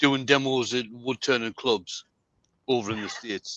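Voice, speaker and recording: In a dry, close recording with no echo and a quiet background, a man speaks at a moderate pace with a medium pitch and a bright, sharp tone. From UK. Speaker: woodturner. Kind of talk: casual chat.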